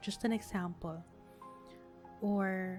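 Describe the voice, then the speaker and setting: A soft-spoken woman talks in a calm tone with music playing in the background. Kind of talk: sleep podcast, personal reflection. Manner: soft-spoken, slow, calm.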